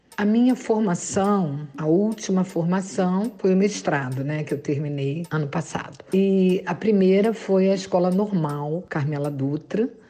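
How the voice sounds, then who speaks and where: A woman speaking fairly slowly with hardly any pauses, amid noticeable background noise. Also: medium pitch for a woman, ordinary pitch variation. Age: 60s. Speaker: teacher. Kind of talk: interview.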